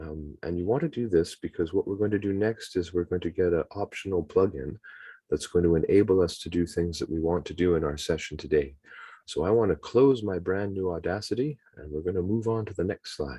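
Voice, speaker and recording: In a Canadian accent, a man speaks at a fairly quick pace with a very deep, low pitch, somewhat breathy, in a dark, mellow tone with ordinary pitch variation. The sound is dry and close with no echo, over a quiet background. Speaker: webinar presenter, teacher trainer. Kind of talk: tutorial. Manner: fast. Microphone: choppy audio, poor internet connection.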